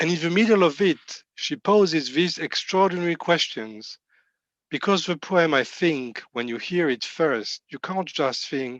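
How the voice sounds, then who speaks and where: A man with a French accent speaks at a fairly slow pace and a high pitch, his intonation lively, in a dry, close sound with no echo against a quiet background. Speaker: rabbi. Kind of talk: sermon. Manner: halting.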